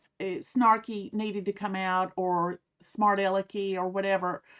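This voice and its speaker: A woman with a Southern US accent speaks at a fairly slow pace. Her voice sits at a medium pitch with ordinary pitch variation. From US South. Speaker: author and private investigator. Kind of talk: interview.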